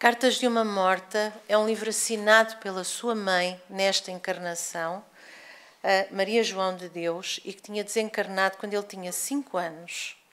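Her pace fairly slow, a woman talks with fairly even intonation. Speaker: lecturer. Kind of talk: lecture. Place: hall. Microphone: podium.

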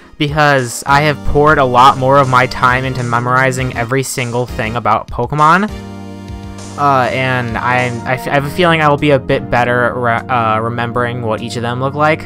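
Clear music plays behind a man who talks at a moderate pace with ordinary pitch variation, the sound dry with no echo. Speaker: youtuber drawing from memory. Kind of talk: casual gaming commentary.

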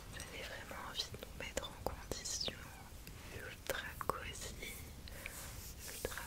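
Whispering very slowly, a woman speaks. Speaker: ASMR content creator. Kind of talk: soft casual chat to viewer. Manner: soft, hushed ASMR voice. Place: home room.

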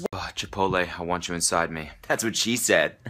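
A man talks at a fairly quick pace in a low voice with a bright, sharp tone and ordinary pitch variation.

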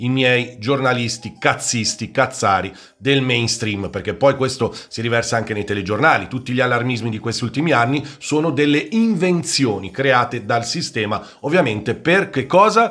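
A man's bright, sharp voice moves at a moderate pace with lively intonation. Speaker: football YouTuber and commentator. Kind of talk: angry rant against the media, opinionated monologue. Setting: solo video monologue. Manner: fiery, indignant, emphatic, lecturing and sarcastic. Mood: indignant rant. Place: home room. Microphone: studio mic.

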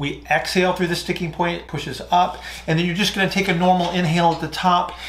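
A man speaking at a fairly quick pace. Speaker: fitness or breathing coach. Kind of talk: Q&A explanation, lecture-like. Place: home room.

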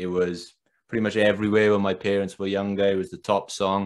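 With a Welsh accent, the speaker keeps fairly even intonation over a quiet background. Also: man. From Wales. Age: 20s. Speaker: podcast host. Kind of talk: interview. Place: home room. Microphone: earbuds.

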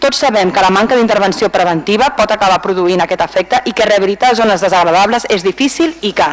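The speech moves at a very fast pace with hardly any pauses. Noticeable background noise sits behind it. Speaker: council member. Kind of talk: formal council speech.

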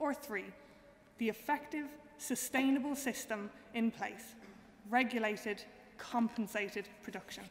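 A woman with a Cork accent, fairly high-pitched, fairly slow, with ordinary pitch variation and light background noise. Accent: Irish, Cork. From Ireland. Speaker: student debater. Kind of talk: formal debate speech. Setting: stage with audience. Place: hall. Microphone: podium.

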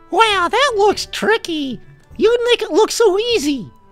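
In a cartoonish character voice pitched extremely high, a man speaks at a fairly slow pace with faint music in the background. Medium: puppet. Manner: excitable, playful.

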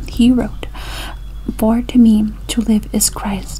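Against light background noise, a soft-spoken woman whispers at a very slow pace. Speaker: reader. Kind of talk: reading devotional text aloud. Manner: soft-spoken whispery reading voice. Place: home room. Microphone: webcam.

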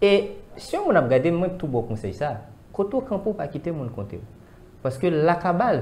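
There is light background noise. A man talks at a moderate pace. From Haiti. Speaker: spiritual commentator. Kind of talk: discussion. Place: studio. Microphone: lapel.

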